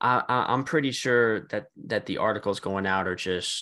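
A man with a bright, sharp tone, vocal fry and lively intonation speaks against a quiet background. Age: 30s. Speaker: sports podcast co-host. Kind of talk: casual chat.

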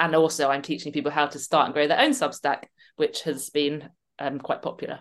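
A woman's very deep, low voice in a southern English accent, fairly quick and monotone with flat intonation, over a quiet background. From London. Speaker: writer and coach. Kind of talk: interview.

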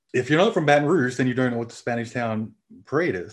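With an Australian accent, a man speaks at a very fast pace and medium pitch, showing ordinary pitch variation. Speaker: parade organizer. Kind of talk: casual chat.

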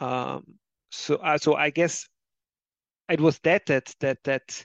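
The speaker talks at a very slow pace with a German accent. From Austria. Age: 30s. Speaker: history author. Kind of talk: interview. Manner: halting, many fillers.

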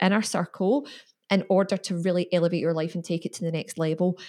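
A woman with an ordinary speaking voice talks at a fairly quick pace and medium pitch with fairly even intonation, in a very clean recording against a silent background. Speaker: podcast host. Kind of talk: casual interview.

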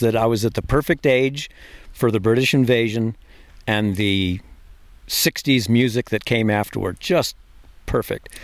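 A man with an American accent, at a moderate pace with ordinary pitch variation

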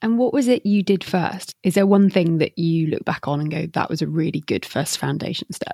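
This woman has a normal speaking voice, set at a moderate pace with hardly any pauses. Her pitch variation is ordinary, and the sound is dry and close with no echo. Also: fairly low pitch for a woman. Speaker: podcast host. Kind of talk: interview questions, casual professional chat.

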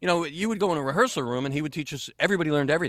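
Bright and sharp in tone, this voice rushes along at a very fast pace with an American accent. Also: man. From Texas. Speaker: actor and voiceover artist. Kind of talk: casual chat. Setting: home closet studio, remote call.

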